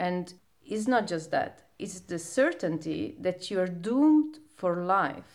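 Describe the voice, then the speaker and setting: Very wide pitch swings mark this voice, which moves at a very slow pace. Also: woman, medium pitch for a woman. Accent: Sicilian. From Sicily, Italy (province of Palermo). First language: Italian. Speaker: poet. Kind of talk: casual chat.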